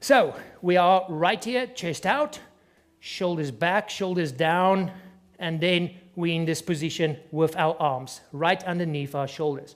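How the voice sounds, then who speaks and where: With a non-native accent, a man speaks at a fairly slow pace in a high pitch with ordinary pitch variation. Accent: noticeable non-native accent, self-described. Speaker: fitness trainer. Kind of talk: tutorial. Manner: instructive, conversational.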